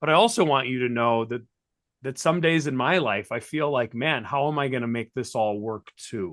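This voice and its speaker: At a moderate pace, a man talks with a medium pitch and ordinary pitch variation. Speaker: chemistry teacher and keynote speaker. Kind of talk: interview conversation. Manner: loud; animated.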